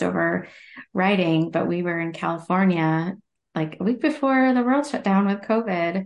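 A woman with a plain, everyday voice, a fairly low pitch, and an American accent, speaking at a moderate pace against a quiet background. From Ohio. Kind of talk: casual chat.

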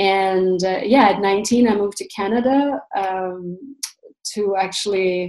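A woman's voice, medium in pitch with ordinary variation, at a very slow pace. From Russia. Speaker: astrologer. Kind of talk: interview. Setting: video call.

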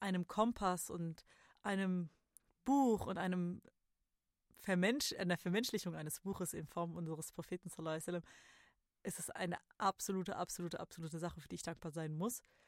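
Fairly low in pitch, a woman speaks in a plain, everyday voice at a moderate pace with ordinary pitch variation. The sound is dry and close, with no echo. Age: 30s. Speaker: podcast host. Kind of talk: solo reflective monologue.

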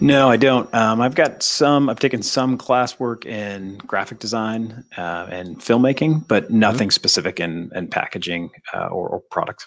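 In a normal speaking voice, a man with an American accent talks at a medium pitch and a moderate pace. His intonation is lively, with hardly any pauses. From upstate New York (Adirondacks). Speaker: ski company co-founder, book publisher. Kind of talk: interview. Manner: casual with frequent fillers.

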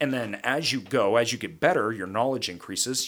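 In a very clean recording with a silent background, a man with a medium-pitched voice sounds animated, with lively intonation and a bright, sharp tone. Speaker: podcast host and real estate investor. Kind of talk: casual monologue on investing. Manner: long-winded, animated.

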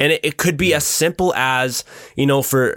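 A fairly high-pitched man in an ordinary speaking voice, moderate pace, ordinary pitch variation, dry, close sound with no echo. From Ontario, Canada. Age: 20s. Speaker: photographer and filmmaker. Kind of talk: casual chat.

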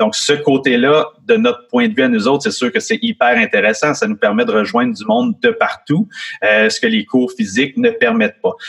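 At a moderate pace and fairly high pitch, a man swings his pitch very widely, the sound dry and close with no echo but with noticeable background noise. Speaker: guitarist and music school owner. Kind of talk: interview.

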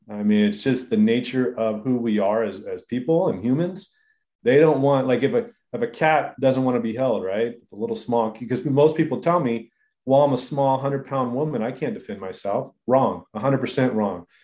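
A man with an American accent uses an ordinary speaking voice at a medium pitch and a moderate pace. His pitch variation is ordinary, while his loudness swings a lot. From Southern California (inland). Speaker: surfer, fighter and self-defense trainer, entrepreneur. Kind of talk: casual interview.

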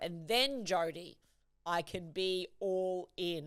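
In an Australian accent, a woman speaks with a fairly low pitch. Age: 40s. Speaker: podcast host and leadership coach. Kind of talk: solo podcast monologue. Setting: studio.

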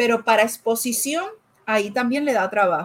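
A woman with a plain, everyday voice speaks at a fairly slow pace and fairly high pitch, with lively intonation. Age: 40s. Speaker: life coach. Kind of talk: casual interview chat.

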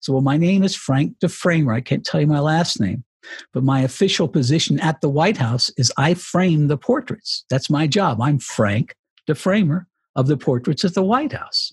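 Lively in intonation, a man speaks at a fairly high pitch and moderate pace, somewhat breathy, with very even loudness and a dry, close sound with no echo. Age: 60s. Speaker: retired radio broadcaster and author. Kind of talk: interview.

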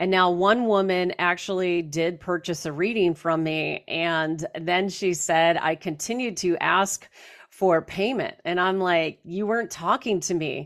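Hardly pausing, a woman speaks at a fairly slow pace with ordinary pitch variation in a very clean recording with a silent background. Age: 40s. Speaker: psychic medium and true crime podcaster. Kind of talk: casual live-stream monologue. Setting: live stream on TikTok. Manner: animated.

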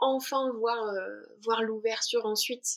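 This woman's voice sits at a fairly high pitch. The recording is very clean, with a silent background. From southern France, Alpes-Maritimes. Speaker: spiritual traveler, mantra singer. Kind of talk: podcast interview. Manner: halting, many repetitions.

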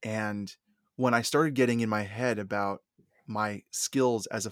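In a dry, close recording with no echo and a silent, very clean background, a man at medium pitch speaks fairly slowly with fairly even intonation. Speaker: therapist and podcaster. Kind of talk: casual interview chat.

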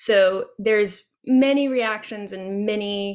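Recorded very cleanly against a silent background, a woman speaks at medium pitch. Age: 30s. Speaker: singer-songwriter and author. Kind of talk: interview.

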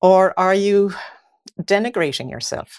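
A woman with an Irish accent is heard on a very clean recording with a silent background. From Ireland. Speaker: mindset coach. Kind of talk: casual chat.

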